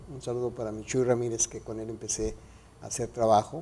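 A man is speaking. His tone is dark and mellow. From Mexico City. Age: 50s. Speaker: radio announcer and photographer; radio announcer. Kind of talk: interview. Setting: studio. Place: studio. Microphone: lapel.

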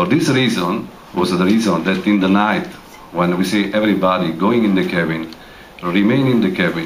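A man talks at a fairly slow pace with a fairly low pitch. Light background noise can be heard. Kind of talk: public address to audience. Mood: serious, explanatory. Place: hall.

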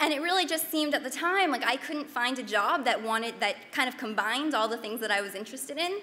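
Speaking at a very fast pace with hardly any pauses, a woman delivers her words at a high pitch. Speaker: chef and nutrition educator; presenter. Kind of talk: panel talk with slides. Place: hall. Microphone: podium.

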